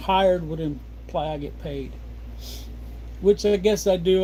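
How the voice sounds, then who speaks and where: Moderate in pace, a man speaks with an American accent. Audible room echo is present. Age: 60s. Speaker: homesteader livestreamer. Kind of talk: casual livestream chat. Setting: home livestream at desk. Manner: relaxed, rambling pace with fillers.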